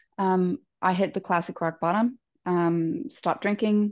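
A woman's fairly low voice with ordinary pitch variation against a quiet background. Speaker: podcast guest. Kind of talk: interview answer. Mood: reflective, calm. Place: home room. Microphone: earbuds.

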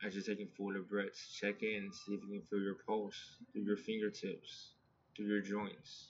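A man speaks at a moderate pace in a fairly low voice, his intonation flat and monotone. Light background noise sits behind him. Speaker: yoga and meditation instructor; meditation teacher. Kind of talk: guided meditation. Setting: video call. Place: home room. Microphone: phone near.

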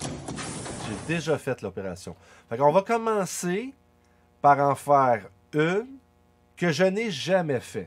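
A man with a fairly high pitch speaks at a very slow pace, leaving long, frequent pauses. His pitch swings very widely. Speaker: crypto YouTuber. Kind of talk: tutorial. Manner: casual.

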